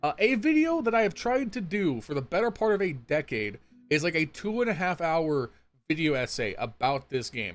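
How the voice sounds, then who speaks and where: With music in the background, a speaker with an American accent uses an animated tone and very wide pitch swings at a moderate pace. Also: man, high pitch for a man. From California. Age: 20s. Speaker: gaming YouTuber. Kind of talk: casual Q&A chat. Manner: casual, animated.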